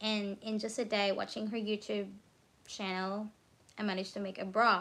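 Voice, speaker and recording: In a Filipino accent, a woman speaks at a moderate pace with a medium pitch and monotone, flat intonation on a very clean recording with a silent background. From Philippines. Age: 30s. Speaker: crochet content creator. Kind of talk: casual live stream chat. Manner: sleepy, relaxed.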